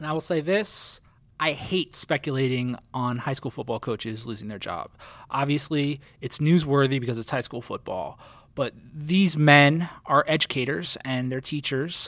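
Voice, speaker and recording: A man with a normal speaking voice, fairly high pitch and ordinary pitch variation at a moderate pace, on a very clean recording with a silent background. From New Jersey. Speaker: sports journalist and podcast co-host. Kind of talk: casual sports podcast chat.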